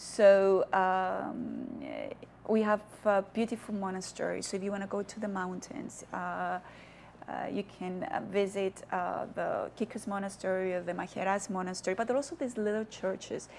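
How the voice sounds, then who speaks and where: A woman with a Cypriot accent, medium pitch, fairly even intonation and a moderate pace. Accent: Greek Cypriot. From Cyprus, Famagusta. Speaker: diplomat. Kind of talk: TV interview.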